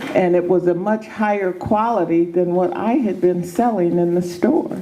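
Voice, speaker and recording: Noticeable background noise beneath a woman's voice at medium pitch. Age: 70s. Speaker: former health food store owner. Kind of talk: motivational talk.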